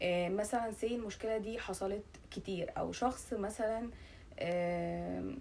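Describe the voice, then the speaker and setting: With an Egyptian accent, a woman speaks at a medium pitch. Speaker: YouTuber. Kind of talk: casual vlog talk. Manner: halting, many fillers.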